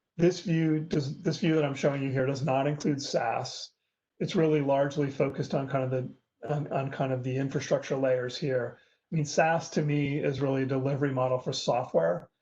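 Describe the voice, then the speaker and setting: Somewhat breathy with a dark, mellow tone, a man speaks at a fairly high pitch with fairly even intonation and a fairly quick pace over a quiet background. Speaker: industry analyst giving a webinar talk. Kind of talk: webinar presentation. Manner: fast.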